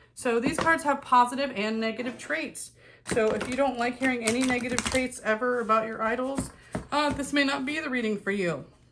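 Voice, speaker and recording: With noticeable background noise behind her, a woman speaks at a fairly quick pace in a high pitch with ordinary pitch variation. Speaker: tarot reader. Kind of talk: tarot reading monologue to camera. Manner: casual, chatty.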